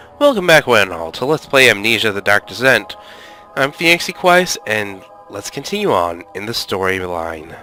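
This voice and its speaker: With music in the background, a man at medium pitch speaks at a moderate pace, his pitch swinging very widely. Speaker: gaming let's play commentator. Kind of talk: casual gameplay commentary.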